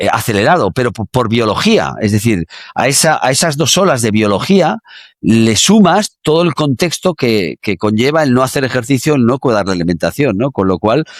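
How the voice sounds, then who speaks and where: On a very clean recording with a silent background and a dry, close sound with no echo, a man at medium pitch talks at a moderate pace with very wide pitch swings and very even loudness. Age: 60s. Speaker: exercise science expert. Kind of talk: interview. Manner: halting, many fillers.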